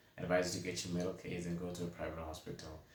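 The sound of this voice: A man speaks at a low pitch. Strong room echo surrounds the voice.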